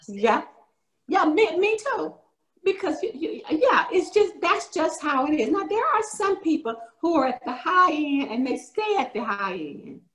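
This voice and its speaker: Extremely high pitch from a woman with an American accent, very wide pitch swings and a fairly slow pace. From US South, rural north Florida. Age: 70s. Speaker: workshop presenter. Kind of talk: virtual class presentation.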